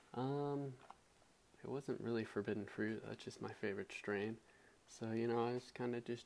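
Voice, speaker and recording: The man's voice sits at a medium pitch. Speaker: podcast host and artist. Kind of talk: casual monologue.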